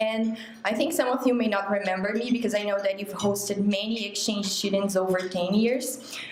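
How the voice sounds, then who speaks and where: With a Portuguese accent, a woman speaks at medium pitch and a moderate pace with ordinary pitch variation, amid audible room echo and noticeable background noise. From Brazil (Aracaju). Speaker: lawyer, former exchange student. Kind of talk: speech to club meeting. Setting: club meeting.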